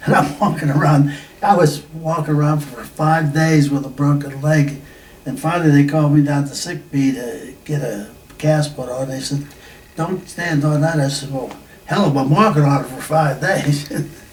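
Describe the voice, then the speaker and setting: Noticeable background noise and audible room echo surround the voice. The speaker keeps a moderate pace with fairly even intonation. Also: man, fairly high pitch for a man. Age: 80s+. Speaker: war veteran. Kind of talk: oral history interview. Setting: reunion. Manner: halting.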